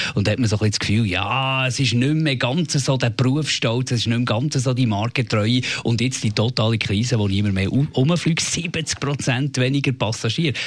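At a moderate pace and with hardly any pauses, a man speaks at medium pitch with ordinary pitch variation and very even loudness over noticeable background noise. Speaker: radio host. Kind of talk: casual chat.

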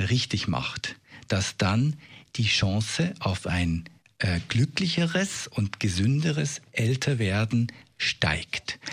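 Speaking at a very slow pace, a man with a medium-pitched, somewhat breathy voice makes very wide pitch swings, captured in a very clean recording against a silent background. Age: 50s. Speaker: expert on aging. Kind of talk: radio interview.

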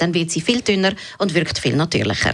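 Noticeable background noise runs beneath a woman talking at a very fast pace. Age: 40s. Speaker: beauty blogger. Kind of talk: radio interview.

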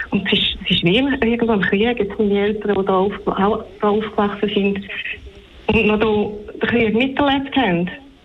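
A woman with a fairly high pitch speaks at a moderate pace and with fairly even intonation, amid noticeable background noise and audible room echo. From Switzerland, near the German border. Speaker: caller, horse owner. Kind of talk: radio call-in.

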